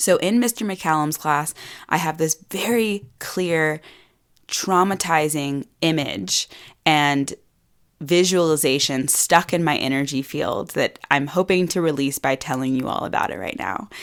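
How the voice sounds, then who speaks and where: In a very clean recording with a silent background, a woman with an American accent speaks at a fairly slow pace, her very deep, low pitch carried by lively intonation. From US South. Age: 20s. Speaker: podcast host and women's empowerment coach. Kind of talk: personal storytelling podcast monologue.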